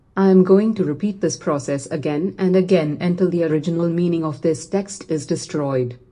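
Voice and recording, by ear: A woman speaks with a fairly low pitch. Her tone is dark and mellow. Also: ordinary pitch variation, moderate pace.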